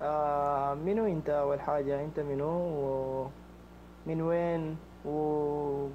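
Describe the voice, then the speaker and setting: This man has a fairly high pitch and a monotone, flat delivery at a very slow pace. Audible room echo surrounds his voice. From Sudan. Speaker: prank target. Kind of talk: phone conversation. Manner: halting.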